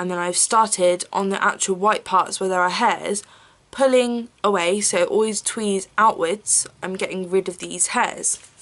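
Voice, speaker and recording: A woman speaks with an English accent. Her pitch is medium and her pace moderate. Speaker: beauty vlogger. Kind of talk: tutorial. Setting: at home filming on camera. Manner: casual, chatty with fillers.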